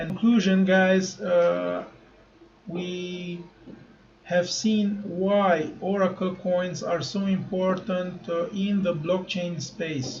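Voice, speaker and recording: A man's high-pitched voice, very slow, with fairly even intonation and audible room echo. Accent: non-native. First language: not English. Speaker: crypto YouTuber. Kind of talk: tutorial. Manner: halting, many fillers.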